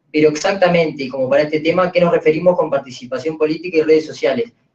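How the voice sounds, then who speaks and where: The pace is very fast. A man speaks with a fairly high pitch. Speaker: panel moderator. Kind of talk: panel moderation.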